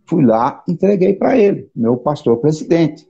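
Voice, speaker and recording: The voice has a dark, mellow tone and very wide pitch swings. Its pace is fairly slow. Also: man. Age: 60s. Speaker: pastor and counselor. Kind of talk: live interview.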